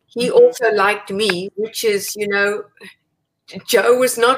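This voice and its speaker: A woman talks very slowly, with her voice set fairly high. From South Africa. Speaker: Pilates teacher, former ballerina and physical therapist. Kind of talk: interview.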